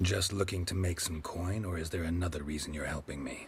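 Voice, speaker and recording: A man puts on a character voice, very deep and low in pitch, with a deadpan tone. He talks at a fairly quick pace over clear background noise. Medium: video game. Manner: terse, clipped, deadpan.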